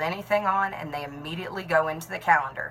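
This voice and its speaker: Noticeable background noise runs under the recording. A woman speaks with ordinary pitch variation. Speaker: network marketing team leader and nurse. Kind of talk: talking-head tutorial.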